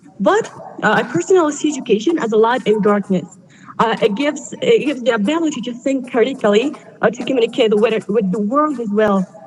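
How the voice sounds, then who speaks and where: Amid noticeable background noise, a woman with a fairly high pitch talks very fast with lively intonation. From Afghanistan. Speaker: student speaker. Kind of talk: prepared speech. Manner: halting, many fillers.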